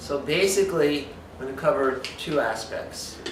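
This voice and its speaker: A man of medium pitch speaks at a fairly slow pace. Noticeable background noise and audible room echo come through. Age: 60s. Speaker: nutrition expert. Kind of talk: lecture. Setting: spa with live audience.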